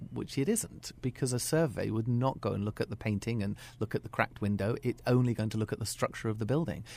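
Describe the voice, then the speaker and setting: Very fast speech from a man with a British accent on a very clean recording with a silent background. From UK. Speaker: school principal. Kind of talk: radio interview. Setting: radio studio.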